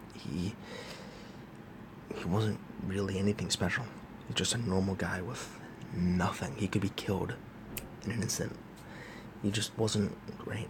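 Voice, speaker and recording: Quiet and fairly low-pitched, a man speaks at a moderate pace with fairly even intonation and long, frequent pauses. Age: young. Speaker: movie reviewer. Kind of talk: casual monologue review. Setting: college dorm room. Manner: talking quietly.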